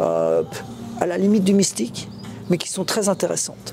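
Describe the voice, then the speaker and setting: Over noticeable background noise, a man with a high-pitched voice speaks at a moderate pace with ordinary pitch variation. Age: 60s. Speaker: covid survivor and association founder. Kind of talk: interview. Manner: halting.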